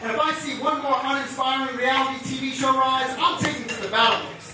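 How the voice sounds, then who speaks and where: A man with an extremely high pitch uses a raised, projected voice at a fairly quick pace with hardly any pauses. His intonation stays fairly even over noticeable background noise. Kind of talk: slam poetry performance. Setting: live venue.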